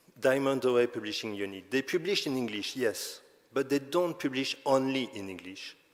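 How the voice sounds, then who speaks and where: A man with a medium-pitched voice talks at a moderate pace, his loudness swinging widely while his pitch varies in an ordinary way. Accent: non-native. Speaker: conference speaker on open access publishing. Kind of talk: conference presentation. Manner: halting, with self-corrections.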